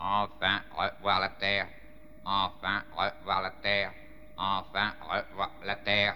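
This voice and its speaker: In a put-on character voice, a man speaks at a fairly slow pace and a fairly low pitch, with clear background noise behind him. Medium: fan dub. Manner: repetitive, monotone, mechanical.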